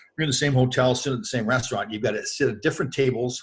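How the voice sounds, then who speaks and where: A somewhat breathy man with a Canadian accent, medium pitch and a very fast pace. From Canada. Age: 60s. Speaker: former pro hockey player. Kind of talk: interview. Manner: casual, animated storytelling.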